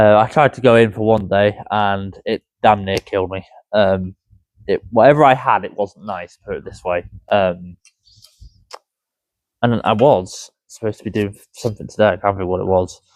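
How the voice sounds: A man's fairly low, slightly mellow voice at a moderate pace, fairly even intonation, dry and close with no echo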